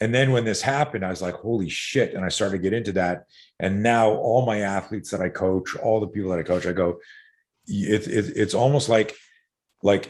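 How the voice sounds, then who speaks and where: On a very clean recording with a silent background, a man with a Canadian accent talks at a fairly quick pace with ordinary pitch variation. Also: fairly low pitch for a man. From Canada, Montreal. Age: 60s. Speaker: self-defense coach. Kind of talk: casual chat. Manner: animated.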